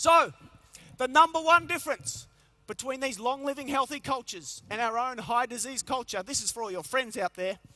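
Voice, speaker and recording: With an Australian accent, the speaker uses a raised, projected voice that is bright and sharp in tone, animated, with lively intonation and a dry, close sound with no echo. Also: man, extremely high pitch for a man. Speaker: motivational health speaker. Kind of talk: keynote talk to a live audience. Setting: conference stage with large audience. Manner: fast.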